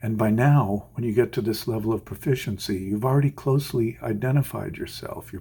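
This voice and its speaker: Somewhat breathy and dark, mellow in tone, a man's medium-pitched voice moves at a fairly quick pace with ordinary pitch variation. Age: 60s. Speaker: orchestral violinist. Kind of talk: scripted advice talk. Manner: measured, formal.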